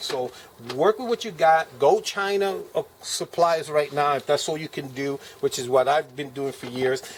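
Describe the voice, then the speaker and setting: Through noticeable background noise, a man with a fairly high pitch speaks at a fairly quick pace with lively intonation. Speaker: preacher and survivalist video maker. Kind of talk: gear show-and-tell video. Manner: fast; casual with many fillers.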